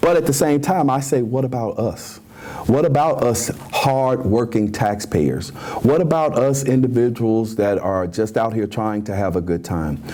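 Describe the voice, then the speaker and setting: A man with a Memphis accent, lively intonation and an animated tone, at a moderate pace over noticeable background noise. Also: medium pitch for a man. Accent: Southern US (Memphis) English. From US South. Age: 60s. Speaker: talk show host. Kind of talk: opinion commentary.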